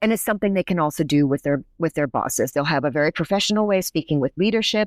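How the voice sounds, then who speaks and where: A woman speaks very fast with an American accent, at a fairly low pitch with lively intonation and very even loudness. The recording is very clean and dry, close with no echo and a silent background. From United States. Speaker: linguistics professor. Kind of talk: podcast interview.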